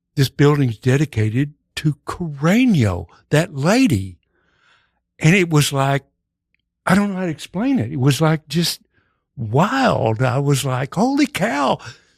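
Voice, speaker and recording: In a Texas accent, a man with a fairly high pitch and a somewhat breathy voice speaks at a fairly slow pace, making very wide pitch swings and leaving long, frequent pauses. The sound is dry and close with no echo, on a very clean recording with a silent background. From Texas, Dallas. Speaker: actor and improv comedian. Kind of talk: casual chat.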